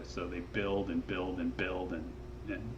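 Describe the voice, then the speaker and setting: A relaxed tone with audible room echo. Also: man. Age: 60s. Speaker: rock climber and guidebook author. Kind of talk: casual interview conversation. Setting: podcast interview. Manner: relaxed, with many fillers and restarts.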